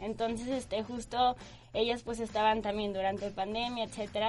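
A woman with a fairly high pitch speaks at a fairly quick pace in a monotone, flat delivery. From Guadalajara, Mexico. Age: 20s. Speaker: brand manager. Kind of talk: casual interview.

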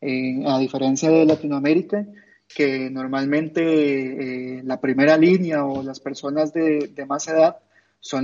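Slow-paced and monotone, a man talks with flat intonation at a fairly high pitch. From Costa Rica. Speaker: football ultra fan. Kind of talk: interview.

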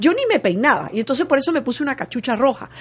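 Over noticeable background noise, a woman talks very fast with very wide swings in pitch. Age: 60s. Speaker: television journalist. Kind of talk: interview conversation.

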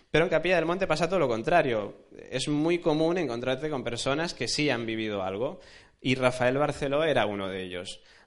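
Audible room echo surrounds speech that moves at a fairly quick pace with lively intonation. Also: man, fairly high pitch for a man. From Alicante, Spain. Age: 20s. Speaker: journalist. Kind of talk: lecture.

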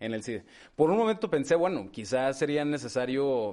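Over a quiet background, a man with an unremarkable speaking voice talks at a moderate pace, medium in pitch with lively intonation. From northern Mexico, La Laguna (Torreón). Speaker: lawyer. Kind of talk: interview. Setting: in person.

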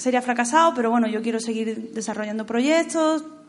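The speaker uses ordinary pitch variation against noticeable background noise. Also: woman. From Spain, Andalusia (Jaén province). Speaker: screenwriter. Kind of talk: festival talk with audience Q&A.

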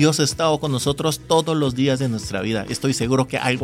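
There is noticeable background noise behind this man. He talks at a very fast pace with a medium pitch. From Korea. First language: Korean (speaking Spanish). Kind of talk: casual radio talk on marriage.

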